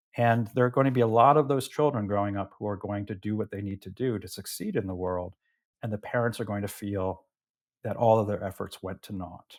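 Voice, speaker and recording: A man speaks at a fairly quick pace in a fairly low pitch, with an unremarkable speaking voice and fairly even intonation. His loudness swings widely, and the recording is very clean with a silent background. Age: 60s. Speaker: political theory professor, author. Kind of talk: interview conversation. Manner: repeats words when starting sentences.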